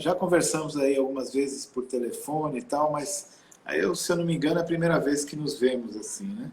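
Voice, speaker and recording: An unremarkable speaking voice from a man, fairly high in pitch, with ordinary pitch variation at a moderate pace. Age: 60s. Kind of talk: interview.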